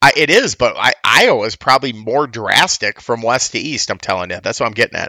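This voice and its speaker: Speaking at a fairly quick pace, a man comes through with a dry, close sound and no echo. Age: 30s. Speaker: podcast host. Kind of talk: casual chat. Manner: animated.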